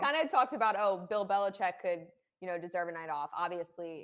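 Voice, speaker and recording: At a fairly quick pace, a woman with a fairly low pitch speaks with ordinary pitch variation. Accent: Philadelphia. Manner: casual, conversational.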